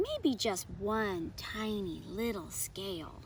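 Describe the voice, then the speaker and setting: Against clear background noise, a woman puts on a character voice at a medium pitch and speaks very slowly. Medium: read story.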